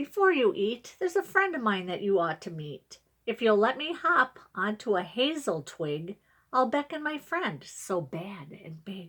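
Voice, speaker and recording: Using a put-on character voice, a woman speaks at a moderate pace with very wide pitch swings. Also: fairly high pitch for a woman. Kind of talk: bedtime story. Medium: read story.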